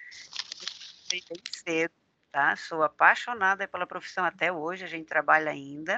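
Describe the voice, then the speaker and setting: In a normal speaking voice, a woman talks at a moderate pace in a fairly low pitch with fairly even intonation and big swings in loudness, recorded dry and close with no echo. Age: 60s. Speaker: driving school owner and instructor. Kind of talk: interview.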